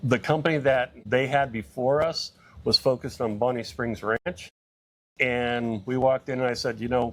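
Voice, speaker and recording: Speaking at a moderate pace with an American accent, a man uses medium pitch and ordinary pitch variation in a very clean recording with a silent background. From US West Coast, San Francisco Bay Area. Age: 60s. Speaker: digital marketing entrepreneur. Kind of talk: casual interview.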